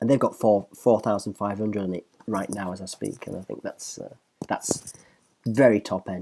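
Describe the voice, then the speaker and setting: A man with a Northern English accent speaks at a fairly low pitch in a dark, mellow tone. His loudness swings widely. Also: ordinary pitch variation. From northern England. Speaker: professional musician and guitar reviewer. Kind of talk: casual online video commentary. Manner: fast; animated.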